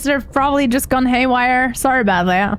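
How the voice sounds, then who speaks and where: A woman's voice over background music. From Germany. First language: German. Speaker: video game streamer. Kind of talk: live gameplay stream chat. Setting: live stream. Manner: animated.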